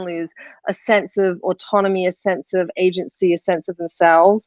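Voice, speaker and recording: In an English accent, a woman speaks with ordinary pitch variation, the sound dry and close with no echo. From England. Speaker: filmmaker. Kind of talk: panel discussion.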